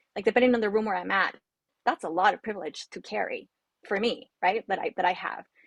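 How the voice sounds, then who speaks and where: A woman with a Spanish accent talks at a very fast pace and medium pitch, with ordinary pitch variation. Her voice has vocal fry and sounds dry and close with no echo. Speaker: trafficking survivor advocate. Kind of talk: panel discussion. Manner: halting.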